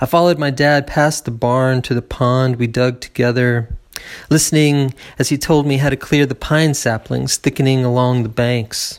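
With an American accent, a man speaks in a plain, everyday voice at medium pitch, with fairly even intonation and very even loudness. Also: moderate pace. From Appalachian Tennessee, US South. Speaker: poet reading own work. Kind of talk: poem reading, performed aloud. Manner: measured, reflective, lyrical reading pace.

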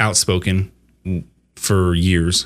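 At a very slow pace, a man talks in a fairly low voice. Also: very clean recording, silent background. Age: 30s. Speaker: video game podcast co-host. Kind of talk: casual chat.

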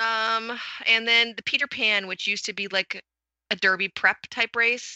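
A woman's plain, everyday voice at a fairly slow pace, with fairly even intonation. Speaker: podcast co-host. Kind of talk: casual chat.

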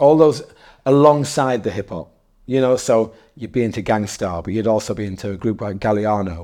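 A man's medium-pitched, dark, mellow voice with ordinary pitch variation, fairly quick pace, and a very clean recording with a silent background. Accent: northeast English. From northeast England, Darlington. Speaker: DJ, hip hop journalist and promoter. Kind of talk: casual interview. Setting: in person, in a room.

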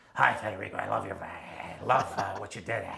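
In a put-on character voice, someone talks at a fairly quick pace, the sound raspy and low-pitched.

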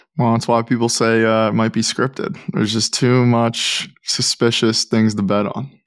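Delivered in a normal speaking voice, the speech moves at a moderate pace with hardly any pauses and fairly even intonation. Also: man, medium pitch for a man. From Pittsburgh, Pennsylvania, US. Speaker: NIL expert, former college basketball player. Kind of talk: podcast interview.

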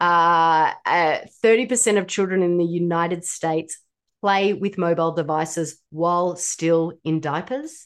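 A woman speaks in a normal speaking voice at a fairly low pitch, with ordinary pitch variation. She keeps a fairly slow pace against a quiet background. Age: 40s. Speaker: ADHD health practitioner and author. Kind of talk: expert interview.

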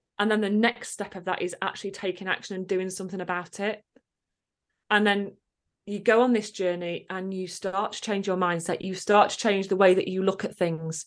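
A woman speaks in an English accent at a fairly quick pace. Her intonation stays monotone and flat against a quiet background. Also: medium pitch for a woman. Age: 30s. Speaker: confidence coach. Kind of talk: casual chat.

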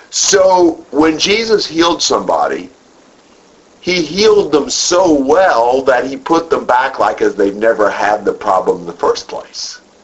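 A man talks fairly slowly, and background noise is noticeable. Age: 50s. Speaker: Bible class teacher. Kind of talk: Bible study lecture.

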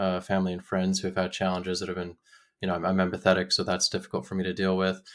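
A man with an American accent speaks in a very deep, low voice and a flat, monotone delivery. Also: very clean recording, silent background. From Utah. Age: 30s. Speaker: podcast guest talking about depression. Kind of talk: casual interview conversation.

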